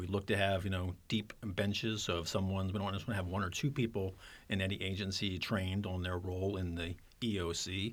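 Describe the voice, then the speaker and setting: A man's plain, everyday voice, fairly low pitch, fairly quick pace and fairly even intonation on a very clean recording with a silent background. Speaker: county public safety official. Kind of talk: interview, professional.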